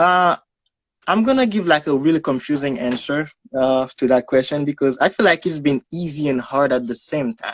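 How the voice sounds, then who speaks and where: A man speaks with a Haitian accent at a moderate pace, his pitch fairly high for a man with ordinary variation. The sound is dry and close, with no echo. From Haiti, Port-au-Prince. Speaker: guest. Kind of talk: casual interview. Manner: halting.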